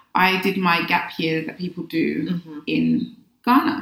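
Bright and sharp in tone, a woman with a London accent talks at a fairly slow pace with vocal fry. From London, England. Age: 40s. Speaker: personal development coach. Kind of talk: casual interview. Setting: in-person studio.

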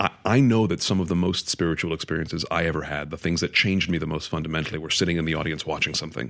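A man's very deep, low pitch at a very fast pace with hardly any pauses, in a very clean recording with a silent background. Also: ordinary pitch variation. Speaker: actor. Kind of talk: casual interview chat.

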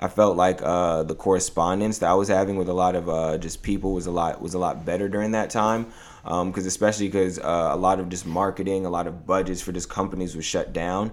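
A man with an American accent talks very fast, with hardly any pauses. His very deep, low voice stays flat and monotone. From New York. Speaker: clothing brand founder. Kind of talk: casual interview.

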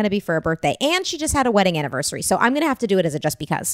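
Talking at a very fast pace, a woman of medium pitch makes very wide pitch swings, recorded with a dry, close sound and no echo. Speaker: podcast co-host. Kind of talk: casual chat.

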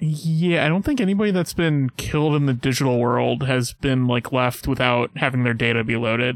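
A man with a plain, everyday voice talks at a moderate pace and medium pitch, his loudness very even and hardly any pauses between words. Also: ordinary pitch variation. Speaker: podcast co-host. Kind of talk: casual chat.

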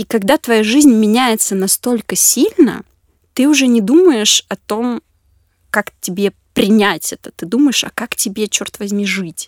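A woman uses an ordinary speaking voice, fairly high, with lively intonation and big swings in loudness at a fairly slow pace. The sound is dry and close, with no echo. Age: 20s. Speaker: social psychologist at a charity. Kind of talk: casual interview. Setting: studio.

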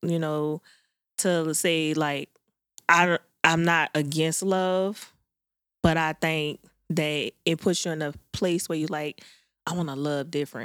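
Pitched fairly low, a woman talks at a moderate pace in a monotone, flat way, leaving long, frequent pauses, on a very clean recording with a silent background and a dry, close sound with no echo. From New Orleans, Louisiana. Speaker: podcast co-host. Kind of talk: casual chat.

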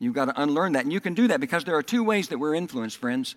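Swinging very widely in pitch, a man talks with a Southern US accent. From US South, Oklahoma and Texas. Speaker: pastor. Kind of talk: sermon. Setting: church.

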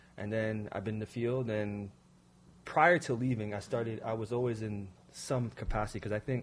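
Speaking at a fairly quick pace, a man uses an ordinary speaking voice with a medium pitch and fairly even intonation. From Toronto, Canada. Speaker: poet and playwright. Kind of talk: casual interview chat.

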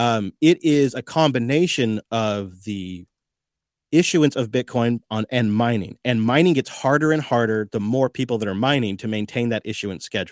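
On a very clean recording with a silent background and a dry, close sound with no echo, a man with an unremarkable speaking voice talks at a moderate pace and medium pitch with ordinary pitch variation. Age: 40s. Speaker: podcast network owner and bitcoin podcaster. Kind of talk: radio interview.

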